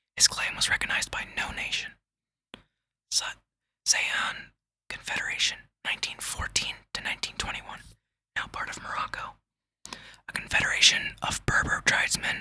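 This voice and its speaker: Someone whispers at a moderate pace. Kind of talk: whispered ASMR reading of an encyclopedia article. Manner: whispered, soft; stumbling, slight stutter.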